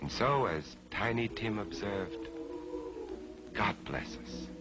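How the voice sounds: A man talks slowly at a fairly low pitch, his bright, sharp tone and lively intonation set over faint background music.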